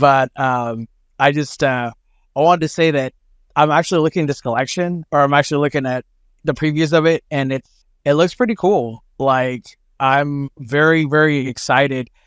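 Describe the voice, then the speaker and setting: With an American accent, a man speaks in an ordinary speaking voice at a fairly high pitch and moderate pace, intonation fairly even, the sound dry and close with no echo on a very clean recording with a silent background. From Oklahoma. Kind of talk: casual chat.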